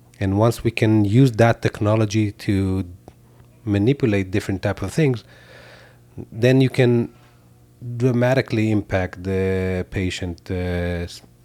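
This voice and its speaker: A man's fairly low, dark, mellow voice with ordinary pitch variation, a fairly slow pace, long, frequent pauses, and a dry, close sound with no echo. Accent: Israeli. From Israel. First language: Hebrew. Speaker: tech company founder and CEO. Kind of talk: interview. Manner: hesitant, many fillers.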